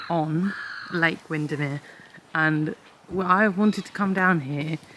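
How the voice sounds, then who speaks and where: With an English accent, a woman speaks in fairly even intonation over noticeable background noise. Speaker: vlogger. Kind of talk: casual vlog to camera. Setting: outdoors by a lake.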